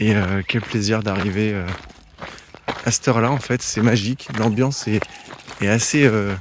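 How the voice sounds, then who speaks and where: A man talks at medium pitch and a moderate pace with fairly even intonation. Noticeable background noise runs underneath. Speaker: travel vlogger, hiker on pilgrimage. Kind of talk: vlog commentary. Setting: outdoors, arriving in village at night.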